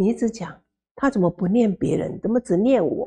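The tone is dark and mellow. There is a somewhat breathy quality to the voice. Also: woman, quiet background. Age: 60s. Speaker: Buddhist nun lecturer; Buddhist nun teacher. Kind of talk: sutra lecture. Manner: slow, many filler particles. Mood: warm, humorous.

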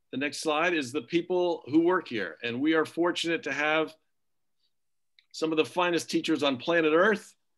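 The background stays quiet. Speech moves along at a moderate pace. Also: man. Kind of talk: presentation to families. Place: home room. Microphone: video call.

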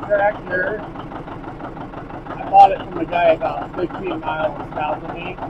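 Loud background noise fills the recording, while the voice itself sounds dry with no echo. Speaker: tractor owner. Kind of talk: casual vlog chat. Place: farm machine. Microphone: phone near.

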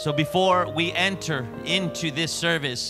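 Music can be heard clearly behind a man who is talking. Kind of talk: prayer. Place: church. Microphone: handheld.

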